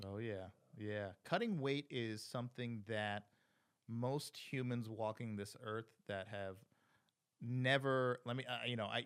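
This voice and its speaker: Against a silent background in a very clean recording, a man speaks at a medium pitch and a fairly slow pace, with ordinary pitch variation and long, frequent pauses. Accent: American. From New Jersey Shore, small town. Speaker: podcast host. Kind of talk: casual interview.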